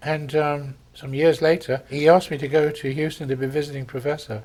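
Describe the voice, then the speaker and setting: A man with an English accent, a fairly high pitch and fairly even intonation. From England. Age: 70s. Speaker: vascular surgeon. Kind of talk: interview. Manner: halting.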